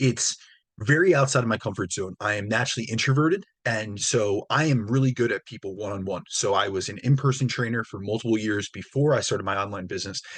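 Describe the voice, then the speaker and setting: Against a quiet background, a man speaks at a very fast pace with a medium pitch and ordinary pitch variation. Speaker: fitness coach and podcast host. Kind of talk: solo podcast monologue.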